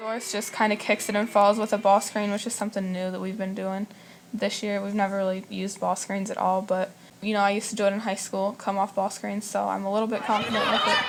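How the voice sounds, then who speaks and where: The voice is soft-spoken and very fast. Its intonation is monotone and flat. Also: woman, medium pitch for a woman. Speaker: college basketball player. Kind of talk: interview.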